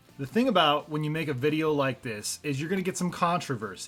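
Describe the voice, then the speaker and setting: A plain, everyday voice from a man, fairly high in pitch, with ordinary pitch variation. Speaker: gaming YouTuber. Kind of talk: casual video commentary.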